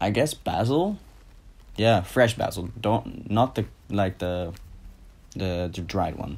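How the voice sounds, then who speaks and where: Very slow male speech, fairly low in pitch, with ordinary pitch variation and long, frequent pauses. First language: Dutch. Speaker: YouTuber. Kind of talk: casual Q&A vlog.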